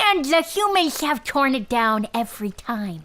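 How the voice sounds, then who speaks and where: A put-on character voice from a woman, pitched high, its pitch swinging very widely. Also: moderate pace. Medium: audio drama. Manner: frustrated.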